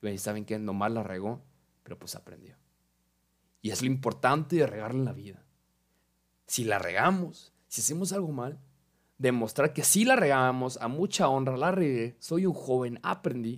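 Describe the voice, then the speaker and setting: On a very clean recording with a silent background, a man of medium pitch speaks at a moderate pace with lively intonation, big swings in loudness, and long, frequent pauses. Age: young. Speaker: podcast host. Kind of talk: casual monologue.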